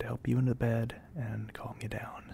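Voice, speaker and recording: The speaker is soft-spoken. The sound is dry with no echo, over light background noise. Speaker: audio drama voice actor. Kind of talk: roleplay audio drama, intimate soft talk. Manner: soft-spoken, calm, slightly hesitant.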